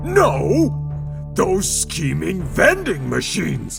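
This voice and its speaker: Clear music plays in the background. Over it, a man uses a put-on character voice at a fairly slow pace. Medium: audio drama. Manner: pompous, indignant.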